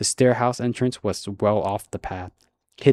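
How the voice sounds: The speaker uses a natural reading voice. The background is quiet.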